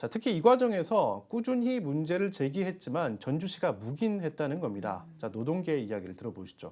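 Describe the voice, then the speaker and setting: At a fairly quick pace with hardly any pauses, a man with a fairly high pitch makes very wide pitch swings. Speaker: news reporter. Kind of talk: TV news studio explanation to anchor. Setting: studio.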